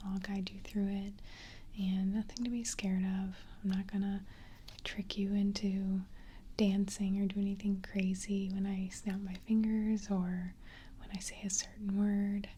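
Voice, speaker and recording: Soft-spoken and fairly slow, with long, frequent pauses. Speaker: ASMR hypnotist (role play). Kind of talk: ASMR hypnosis role play, guided relaxation. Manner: soft-spoken, slow, quiet.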